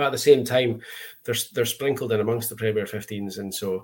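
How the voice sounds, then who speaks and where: A man talks at a very fast pace in a somewhat breathy, fairly low voice with monotone, flat intonation. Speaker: podcast co-host. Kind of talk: casual chat.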